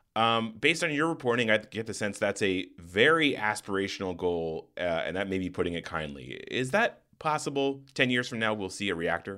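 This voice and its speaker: Over a very clean recording with a silent background, a man with a fairly low pitch speaks at a moderate pace with hardly any pauses and very wide pitch swings. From Arizona, US. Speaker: podcast host. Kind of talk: interview; scripted intro narration.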